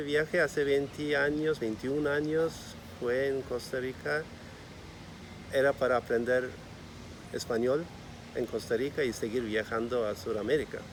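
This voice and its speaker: A man with a Turkish accent speaks at a medium pitch with ordinary pitch variation. His pace is very slow, broken by long, frequent pauses. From Turkey, Istanbul. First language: Turkish (speaking Spanish). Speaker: bakery owner. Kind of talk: interview.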